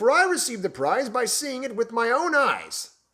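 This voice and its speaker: A man bellows in a put-on character voice at an extremely high pitch. His intonation is lively and his pace moderate. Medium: read story. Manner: bellowing.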